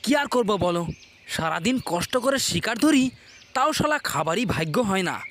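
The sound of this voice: Putting on a cartoonish character voice, a man talks at a fairly quick pace with high pitch and big pitch swings. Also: fairly bright tone.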